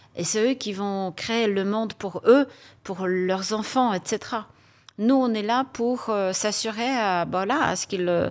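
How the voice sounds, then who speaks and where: The speaker talks at a very slow pace with a Polish accent. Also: woman, fairly high pitch for a woman, ordinary pitch variation, very clean recording, silent background. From Poland. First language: Polish (speaking French). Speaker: HR executive. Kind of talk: panel discussion.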